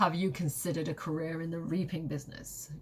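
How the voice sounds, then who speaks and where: A put-on character voice at middle pitch talks at a very fast pace. Light background noise sits underneath. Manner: dramatic, punning, theatrical.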